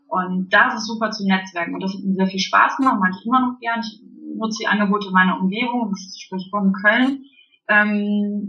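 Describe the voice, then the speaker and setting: Music plays behind a woman with a medium-pitched voice. She talks at a moderate pace with ordinary pitch variation. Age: 30s. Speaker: indoor playground founder and childminder. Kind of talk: interview. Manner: halting, many fillers.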